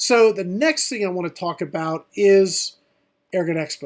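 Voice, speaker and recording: A man with ordinary pitch variation, in a very clean recording over a silent background. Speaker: airgun channel host. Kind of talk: live stream product show. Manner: hesitant fillers.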